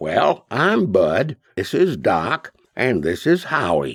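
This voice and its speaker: A put-on character voice with very wide pitch swings unfolds at a very slow pace, with a dry, close sound and no echo. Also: man, medium pitch for a man. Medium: read story.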